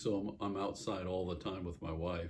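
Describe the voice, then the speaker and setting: A somewhat breathy man's voice, very deep and low, with ordinary pitch variation. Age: 60s. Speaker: vlogger sharing surgery recovery. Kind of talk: casual personal vlog. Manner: halting, many fillers.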